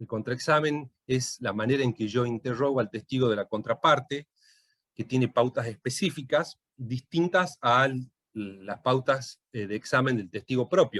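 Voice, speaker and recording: Ordinary pitch variation at a fairly slow pace, the sound dry and close with no echo. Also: man, medium pitch for a man. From Tucumán, Argentina. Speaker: lawyer and law lecturer. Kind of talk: lecture. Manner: hesitant, many fillers.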